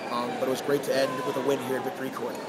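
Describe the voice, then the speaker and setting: Crowd noise fills the background while a man speaks at a very fast pace. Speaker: volleyball coach. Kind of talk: post-match interview comments. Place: hall. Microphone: phone near.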